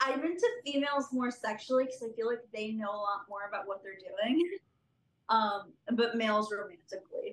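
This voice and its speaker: A woman with an unremarkable speaking voice, fairly high in pitch, at a fairly quick pace, with ordinary pitch variation and big swings in loudness. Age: 20s. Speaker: interview guest. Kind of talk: casual interview.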